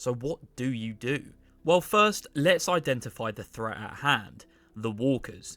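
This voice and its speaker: With an English accent, a man speaks at a fairly slow pace and a medium pitch, his tone bright and sharp with lively intonation. The recording is very clean with a silent background. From England. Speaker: YouTuber, TV show commentator. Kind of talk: video essay commentary.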